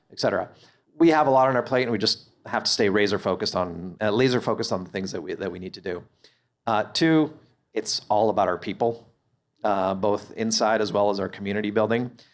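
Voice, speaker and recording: At a very fast pace, a man talks with a fairly low pitch. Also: ordinary pitch variation, very clean recording, silent background. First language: not English. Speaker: company CEO. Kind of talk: live on-stage interview. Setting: stage with audience. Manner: hesitant, many fillers and repeats.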